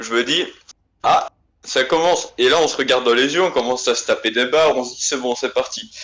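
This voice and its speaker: With a Belgian accent, a man talks at a fairly quick pace. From Belgium, Liège. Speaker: guest telling an anecdote. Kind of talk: casual storytelling. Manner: hesitant, many fillers.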